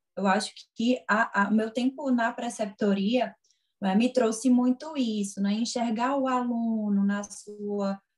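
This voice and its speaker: Very slowly, a woman speaks in a fairly high, somewhat breathy voice. Her tone is dark and mellow, and her intonation fairly even. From Pernambuco, northeastern Brazil (Garanhuns). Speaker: physiotherapist and lecturer. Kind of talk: interview.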